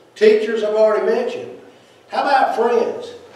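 Strong room echo surrounds a man's voice. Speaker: preacher. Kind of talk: sermon. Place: church.

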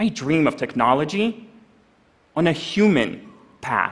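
Very wide pitch swings in a man's speech. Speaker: conference speaker. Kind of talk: prepared stage talk. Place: stage.

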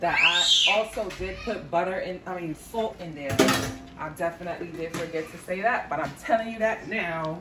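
Loud background noise runs under a woman speaking at a moderate pace with ordinary pitch variation. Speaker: home cook vlogger. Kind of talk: casual vlog chat. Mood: a bit stressed, apologetic. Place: kitchen. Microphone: phone near.

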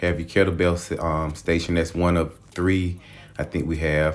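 A man's very deep, low voice at a moderate pace. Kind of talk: casual vlog chat. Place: gym. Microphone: phone near.

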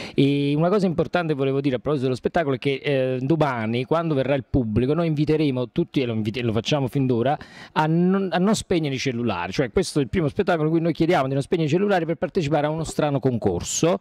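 Against a quiet background, a man with a Neapolitan accent races along at a very fast pace with hardly any pauses, his fairly high voice showing lively intonation and very even loudness. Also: dry sound with no echo. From Naples area, Italy; Italy. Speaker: stage actor and playwright; stage actor. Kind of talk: interview. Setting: event venue. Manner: halting. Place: hall. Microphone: handheld.

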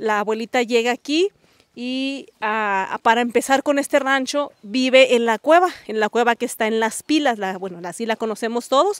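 Recorded with a dry sound and no echo against a quiet background, a woman talks at a moderate pace with ordinary pitch variation. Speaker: local guide telling family history. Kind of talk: interview answer. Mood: warm, nostalgic. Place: open country. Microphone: handheld.

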